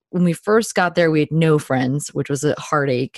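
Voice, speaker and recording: A woman's very deep, low voice with ordinary pitch variation at a fairly quick pace, in a very clean recording with a silent background and a dry, close sound with no echo. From New Jersey. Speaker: podcast host and ministry worker. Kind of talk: casual interview.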